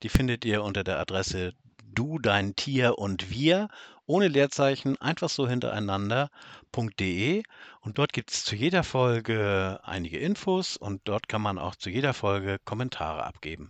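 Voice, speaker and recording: In a northern German accent, a man speaks at a fairly slow pace with lively intonation. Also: medium pitch for a man. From northern Germany. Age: middle-aged. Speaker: podcast co-host, farmer. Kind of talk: casual chat.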